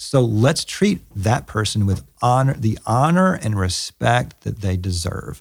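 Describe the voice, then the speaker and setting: Over a silent background in a very clean recording, a man with a Southern US accent speaks fairly slowly at a fairly low pitch. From US South. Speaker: pastor and author. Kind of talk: interview conversation. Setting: in person at his church.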